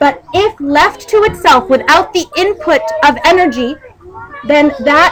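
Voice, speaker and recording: A woman speaks loudly in an animated tone. Noticeable background noise runs behind her. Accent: American. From United States. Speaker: Islamic lecturer. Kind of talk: religious talk to women's gathering. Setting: community event hall.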